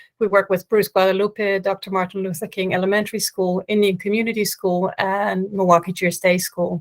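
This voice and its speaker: The speaker has a Dutch accent and a monotone, flat intonation, moving at a fairly quick pace with hardly any pauses. The sound is dry and close, with no echo. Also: woman, medium pitch for a woman. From Netherlands. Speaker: panelist, school project worker. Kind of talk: panel discussion.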